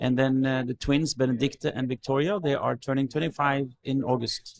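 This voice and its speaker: A man with a Norwegian accent speaks at a moderate pace and medium pitch, his intonation fairly even and his loudness very even, in a dry, close recording with no echo. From Norway. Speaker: pastor. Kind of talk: interview testimony. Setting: cabin. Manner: halting, repeats words.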